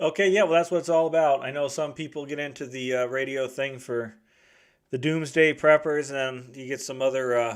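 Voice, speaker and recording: A man talks at a fairly quick pace in a fairly high voice. His intonation stays fairly even. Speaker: radio net control operator. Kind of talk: radio net check-in. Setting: two-way radio transmission. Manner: fast.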